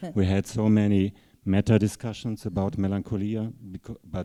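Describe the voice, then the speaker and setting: With a German accent, a man speaks at a moderate pace in a dark, mellow tone, the sound dry and close with no echo against a quiet background. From Germany, Rhede. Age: 60s. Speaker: writer. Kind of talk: panel discussion. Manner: halting.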